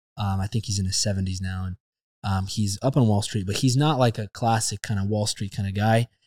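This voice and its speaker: Delivered in a normal speaking voice at a fairly quick pace, the sound is dry and close with no echo, in a very clean recording with a silent background. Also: man. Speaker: podcast host. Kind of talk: casual interview.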